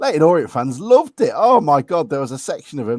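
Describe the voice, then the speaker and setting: A man with an English accent talks at a fairly high pitch. His pace is fairly quick, and his pitch swings very widely. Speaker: football podcast host. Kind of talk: casual chat.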